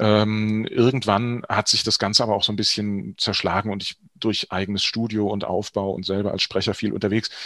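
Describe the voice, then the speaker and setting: A man at fairly low pitch and moderate pace, monotone and flat, with hardly any pauses. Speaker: actor and voice-over artist. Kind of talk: interview. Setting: studio.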